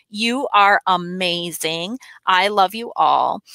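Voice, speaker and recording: The tone is bright and sharp with ordinary pitch variation, in a dry sound with no echo over a quiet background. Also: woman. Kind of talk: school announcements. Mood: warm and cheerful. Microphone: headset.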